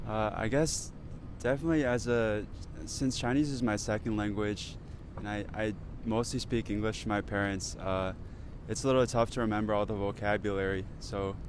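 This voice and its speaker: Here is a man with a normal speaking voice and an American accent. His pitch is fairly low, his intonation fairly even and his pace moderate. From United States. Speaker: pharmacy student. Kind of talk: casual chat.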